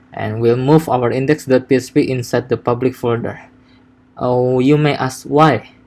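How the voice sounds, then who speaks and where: Monotone and flat in intonation, a man talks at a medium pitch. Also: moderate pace. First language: not English. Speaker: software developer. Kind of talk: coding tutorial. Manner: halting, many fillers and repetitions.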